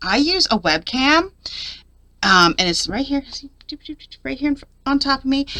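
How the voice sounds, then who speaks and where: A woman speaks with very wide pitch swings. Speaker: papercraft YouTuber. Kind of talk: tutorial. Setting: home craft desk, webcam recording. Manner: halting, stumbling over words.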